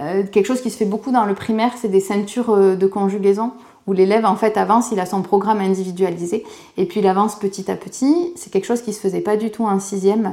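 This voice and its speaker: A woman with a southwestern French accent speaks at a very fast pace, her dark, mellow tone carried on fairly even intonation. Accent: southwest French. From southwest France. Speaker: specialised schoolteacher. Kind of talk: casual interview talk. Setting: outdoors in school grounds.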